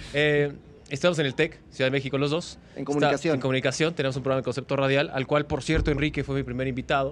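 Talking at a very fast pace, a man holds a monotone, flat intonation at a fairly high pitch. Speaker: sports broadcaster. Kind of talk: casual interview chat.

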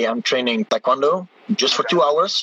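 Man with a high pitch, dry, close sound with no echo, and noticeable background noise. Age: 20s. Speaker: taekwondo athlete. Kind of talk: interview. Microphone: poor connection.

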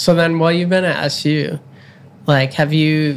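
A man's fairly high-pitched voice at a moderate pace, with fairly even intonation and an ordinary speaking voice. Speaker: podcast host and program coordinator. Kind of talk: casual interview chat.

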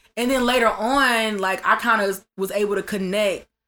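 A woman's pitch varies in an ordinary way while music sounds in the background. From Atlanta. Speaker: musician. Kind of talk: casual chat.

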